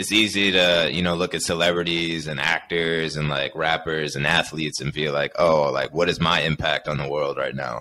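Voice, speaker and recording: Amid light background noise, a man with a very deep, low pitch, a bright, sharp tone and vocal fry speaks at a moderate pace with fairly even intonation and hardly any pauses. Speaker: podcast host. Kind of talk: casual chat. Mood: relaxed, friendly. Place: home room. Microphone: studio mic.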